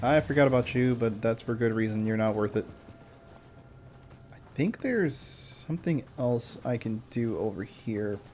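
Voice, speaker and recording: A man speaks softly at a moderate pace. His pitch varies in an ordinary way. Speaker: gaming streamer. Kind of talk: gameplay commentary. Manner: soft-spoken. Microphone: quiet, gain turned up high.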